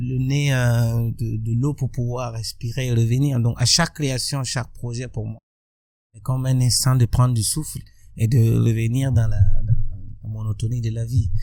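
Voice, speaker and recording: A man speaks at a fairly slow pace with a medium pitch. His intonation is monotone and flat, while his loudness swings widely. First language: Burkinabe local language (speaking French). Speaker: musician and social activist. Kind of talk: interview.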